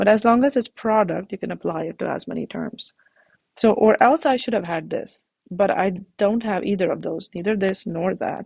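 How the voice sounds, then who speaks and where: Vocal fry marks a woman's voice, heard in a dry, close sound with no echo. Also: medium pitch for a woman, ordinary pitch variation, moderate pace. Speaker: math teacher. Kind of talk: tutorial.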